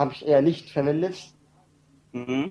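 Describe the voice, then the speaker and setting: The man's voice has a dark, mellow tone and a fairly high pitch. His intonation is fairly even. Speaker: caller. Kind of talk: casual chat. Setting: internet call.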